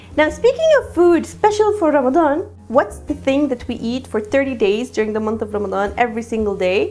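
Faint music plays in the background while the speech moves at a moderate pace. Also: woman. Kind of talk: cooking tutorial intro. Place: kitchen. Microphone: lapel.

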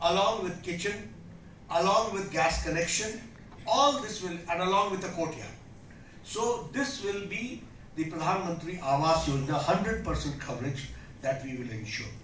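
A man at a fairly slow pace, with long, frequent pauses, light background noise and audible room echo. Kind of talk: political speech. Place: hall. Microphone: podium.

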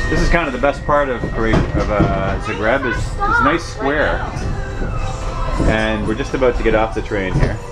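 A man speaks over loud music in the background. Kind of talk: casual vlog chat. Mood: relaxed, pleased. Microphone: phone near.

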